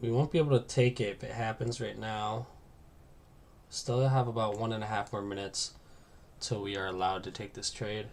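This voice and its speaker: Quiet and at a medium pitch, a man talks fairly quickly with fairly even intonation but leaves long, frequent pauses. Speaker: day trader streaming live trades. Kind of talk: live trading commentary.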